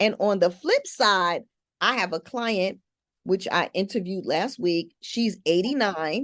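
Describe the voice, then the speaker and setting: A woman has an ordinary speaking voice at medium pitch. She speaks at a fairly slow pace with ordinary pitch variation. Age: 60s. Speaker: podcast host. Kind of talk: casual chat.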